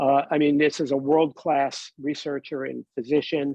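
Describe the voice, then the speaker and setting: Fairly high pitch from a man, delivered at a moderate pace. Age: 60s. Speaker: cancer survivor panelist. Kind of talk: panel testimony. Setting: webinar. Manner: halting.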